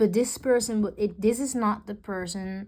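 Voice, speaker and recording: A woman speaks with a non-native accent. The recording is very clean, with total silence behind her. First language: not English. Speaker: tarot reader. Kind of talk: tarot reading. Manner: halting.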